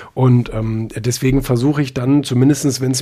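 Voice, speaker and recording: Moving at a fairly quick pace, a man speaks in a medium pitch with a somewhat breathy, dark, mellow tone and fairly even intonation. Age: young. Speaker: magazine publisher and author. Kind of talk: casual interview. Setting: live social audio room. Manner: hesitant, many filler sounds.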